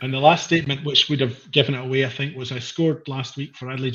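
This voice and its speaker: A very fast pace with fairly even intonation, in a Scottish accent. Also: man. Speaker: podcast co-host, quizmaster. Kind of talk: casual chat.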